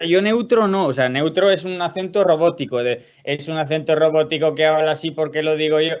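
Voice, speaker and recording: The speaker is a man with ordinary pitch variation. His pace is fairly quick. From Spain, Burgos. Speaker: guest. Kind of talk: casual chat. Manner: halting.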